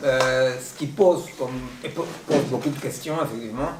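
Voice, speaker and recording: A man at a medium pitch with a non-native accent and fairly even intonation, amid noticeable background noise and audible room echo. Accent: foreign accent in French. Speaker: seminar speaker, philosopher. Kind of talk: lecture. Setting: seminar room with audience and Zoom. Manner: halting, many hesitations.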